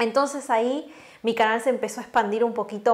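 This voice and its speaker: This woman speaks with a Uruguayan accent at a fairly high pitch. Her pace is moderate and her pitch varies in an ordinary way. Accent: Uruguayan Rioplatense Spanish. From Uruguay, Florida. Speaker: Spanish teacher and language content creator. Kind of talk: interview.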